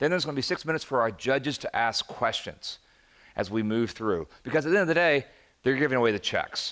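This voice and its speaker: Over a very clean recording with a silent background, a man with a fairly high voice talks at a very fast pace with lively intonation. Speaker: event moderator. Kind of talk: live event hosting. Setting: stage with audience. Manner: animated.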